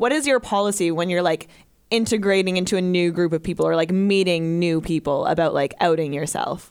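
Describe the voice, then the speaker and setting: A normal speaking voice, fairly quick in pace, ordinary in its pitch movement. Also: woman. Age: 20s. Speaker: podcast co-host. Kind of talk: casual chat.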